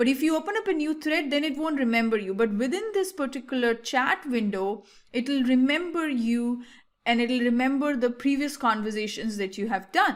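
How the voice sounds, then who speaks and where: With an Indian accent, a woman speaks at a high pitch with lively intonation. The recording is very clean, with a silent background. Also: moderate pace. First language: Hindi. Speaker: tech tutorial creator. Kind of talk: tutorial. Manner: casual, hesitant with fillers.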